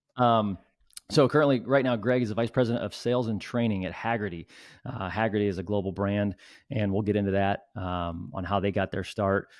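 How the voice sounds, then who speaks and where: An unremarkable speaking voice with an American accent uses ordinary pitch variation. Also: man, fairly low pitch for a man. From United States. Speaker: podcast host. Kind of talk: interview.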